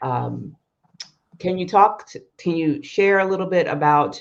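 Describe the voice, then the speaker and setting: Against a quiet background, a woman with an American accent talks at a fairly slow pace with fairly even intonation in an unremarkable speaking voice. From US, southern New Jersey. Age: 50s. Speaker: YouTube host. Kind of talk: interview. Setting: live stream.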